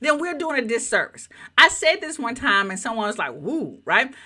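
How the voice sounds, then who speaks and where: With a Southern US accent, a woman speaks in a high, bright, sharp voice, her animated tone carried by very wide pitch swings. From US South. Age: 50s. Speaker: YouTube coach. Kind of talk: live training.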